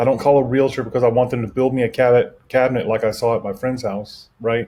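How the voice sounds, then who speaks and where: A man with an American accent talks at a very fast pace and a medium pitch. His tone is dark and mellow, his intonation monotone and flat. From Texas. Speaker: SEO marketing agency owner. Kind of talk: interview.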